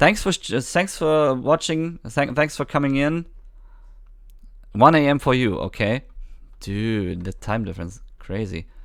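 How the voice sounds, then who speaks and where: A man's fairly high voice with a German accent, fairly slow with long, frequent pauses and very wide pitch swings, in a very clean recording with a silent background. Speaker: gaming streamer. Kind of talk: live stream chat. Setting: live stream. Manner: halting.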